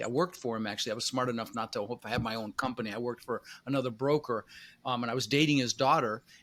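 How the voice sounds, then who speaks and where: With an American accent, a man speaks at a very fast pace with ordinary pitch variation. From Colorado, US (Denver), after early childhood in the Netherlands. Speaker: real estate investor. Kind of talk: podcast interview. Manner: casual, filler-heavy.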